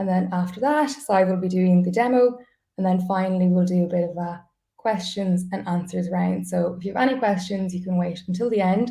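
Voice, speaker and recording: In an Irish accent, a woman speaks at medium pitch with a dark, mellow, somewhat breathy tone. Her pitch varies normally and her pace is fairly quick. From Ireland. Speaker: customer support staff, webinar host. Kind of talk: webinar presentation. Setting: live online webinar.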